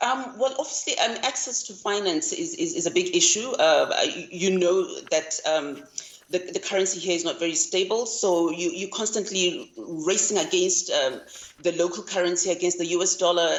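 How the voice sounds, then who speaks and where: A woman's voice at a moderate pace, with ordinary pitch variation and noticeable background noise. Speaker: farmer. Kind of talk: interview. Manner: halting, many fillers.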